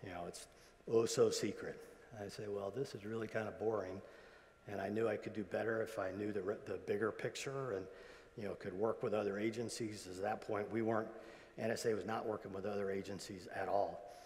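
The speech moves at a fairly quick pace with a monotone, flat intonation. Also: man, fairly low pitch for a man. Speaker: retired intelligence agency executive; guest. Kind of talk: convocation speech. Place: hall. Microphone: lapel.

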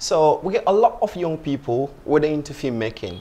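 A man speaks at a moderate pace, his pitch swinging very widely. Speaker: guest. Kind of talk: interview answer. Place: studio. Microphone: lapel.

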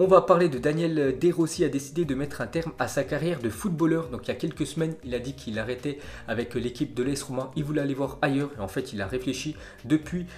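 A man rattles along at a very fast pace with ordinary pitch variation over light background noise. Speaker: football news youtuber. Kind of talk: commentary. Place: home room.

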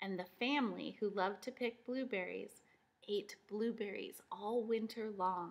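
It is a natural reading voice. Pitch variation is ordinary.

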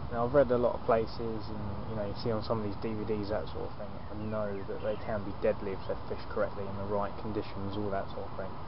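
A fairly low-pitched man's voice with noticeable background noise and a dry sound with no echo. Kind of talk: casual vlog chat. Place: tent. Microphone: phone near.

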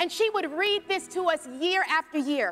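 A woman speaks in a raised, projected voice, with faint music playing in the background. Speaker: speaker. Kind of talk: storytelling monologue to congregation. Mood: warm, playful. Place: church. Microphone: handheld.

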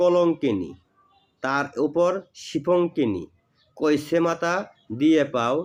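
Speaking in a plain, everyday voice, a man keeps his pitch fairly high and shows ordinary pitch variation. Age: 40s. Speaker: folk healer and tantric teacher. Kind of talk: religious instruction video monologue.

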